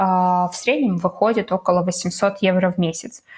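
At a very slow pace, a woman speaks in a somewhat breathy voice of medium pitch. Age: 20s. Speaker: podcast co-host, new mother. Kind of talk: casual chat. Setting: remote call between cities.

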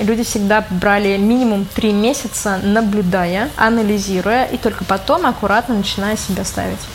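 Fairly quick speech against noticeable background noise. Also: woman. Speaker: corporate manager. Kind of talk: interview.

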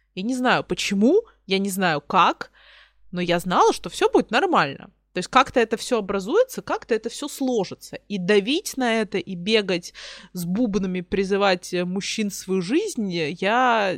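In a dry, close sound with no echo and a silent background on a very clean recording, a woman of medium pitch speaks at a moderate pace with ordinary pitch variation. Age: 20s. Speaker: podcast co-host. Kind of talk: casual chat. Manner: direct, outspoken.

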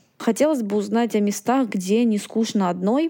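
Dark and mellow in tone, a woman's voice sits at a medium pitch. She keeps a moderate pace and fairly even intonation. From Moscow. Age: 20s. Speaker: listener, recruiter. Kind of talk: recorded listener request.

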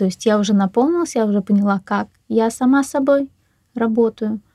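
A woman's somewhat breathy, dark, mellow voice at a fairly high pitch, moderate pace and ordinary pitch variation, in a dry, close sound with no echo. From Russia, Ufa. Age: 30s. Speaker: energy practitioner, divorced mother. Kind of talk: casual interview.

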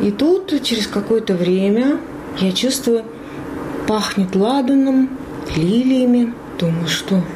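Fairly high in pitch, a woman speaks very slowly with lively intonation and long, frequent pauses. Her loudness stays very even amid noticeable background noise and audible room echo. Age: 40s. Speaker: former radio journalist, hospice patient. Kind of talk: interview. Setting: hospice room, in bed. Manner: animated.

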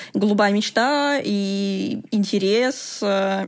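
Fairly high-pitched, a woman talks in an unremarkable speaking voice with fairly even intonation. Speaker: computational linguist. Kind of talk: interview.

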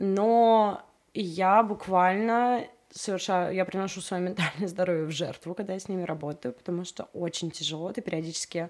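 Recorded very cleanly against a silent background, a plain, everyday voice speaks at a moderate pace with ordinary pitch variation. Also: woman, medium pitch for a woman. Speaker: music artist manager. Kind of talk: interview. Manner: casual, chatty.

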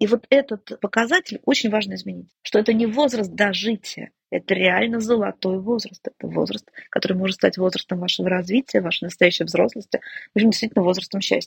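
A woman speaks at a fairly quick pace in a medium pitch, with vocal fry and ordinary pitch variation. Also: dry, close sound with no echo. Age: 50s. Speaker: family psychologist. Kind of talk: interview conversation.

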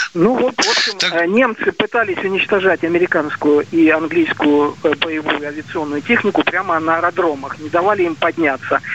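The speech moves at a moderate pace with ordinary pitch variation. Noticeable background noise runs underneath. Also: man, high pitch for a man. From Siberia. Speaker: caller. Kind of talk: call-in question. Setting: phone call.

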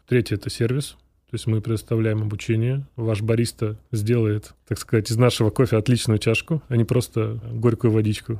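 Over a very clean recording with a silent background, a man speaks at a moderate pace with medium pitch, a dark, mellow tone and flat, monotone intonation. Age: 30s. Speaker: coffee roasting company director. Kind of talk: interview.

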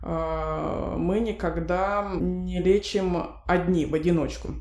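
This is a woman talking. Her words carry audible room echo. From Russia, Novosibirsk. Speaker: pediatric oncologist. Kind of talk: interview.

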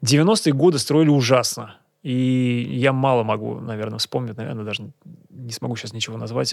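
Loudness swings widely as a man speaks at a medium pitch and moderate pace with ordinary pitch variation. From Kazan, Russia. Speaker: local historian and photographer. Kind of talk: casual interview. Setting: studio. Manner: halting, many fillers.

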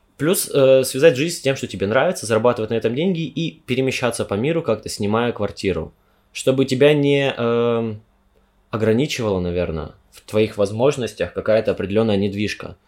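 At a fairly quick pace, a man with a normal speaking voice talks in a medium pitch with lively intonation and big swings in loudness. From Siberia, Omsk. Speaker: university student. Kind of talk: casual chat.

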